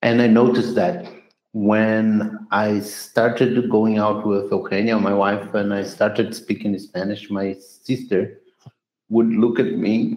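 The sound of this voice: In a room with audible echo, a man speaks slowly at a fairly low pitch, with a slightly mellow tone and little pitch movement.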